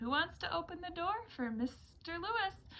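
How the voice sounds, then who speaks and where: A woman's squeaky put-on character voice, extremely high in pitch with very wide pitch swings, at a moderate pace over light background noise. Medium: read story. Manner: bright, teacherly.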